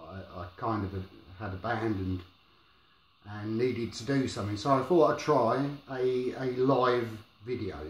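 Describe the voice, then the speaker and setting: Audible room echo surrounds a man of medium pitch whose somewhat breathy voice shows ordinary pitch variation. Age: 40s. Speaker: vlogger sharing experience of depression. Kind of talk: personal vlog monologue. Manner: mumbling; halting, hesitant.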